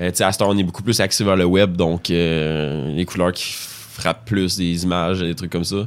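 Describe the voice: A man's low voice at a moderate pace, intonation fairly even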